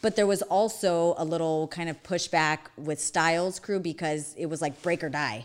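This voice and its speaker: A woman with an American accent and an unremarkable speaking voice, fairly low in pitch, speaks at a moderate pace with hardly any pauses and ordinary pitch variation. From Arizona, Phoenix. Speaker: dance studio owner and director. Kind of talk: casual interview chat, telling life story.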